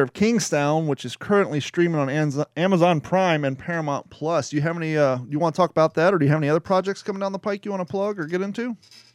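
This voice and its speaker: The speaker talks at a very fast pace in an American accent with ordinary pitch variation, on a very clean recording with a silent background. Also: man. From US Midwest. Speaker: podcast host. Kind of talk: casual chat.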